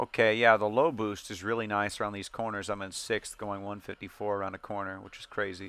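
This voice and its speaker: A man's fairly low, bright, sharp voice, fairly quick with hardly any pauses, monotone and flat in intonation, with big swings in loudness. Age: 30s. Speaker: gaming streamer. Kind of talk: casual chat over gameplay. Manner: fast; sometimes slurred when speaking fast.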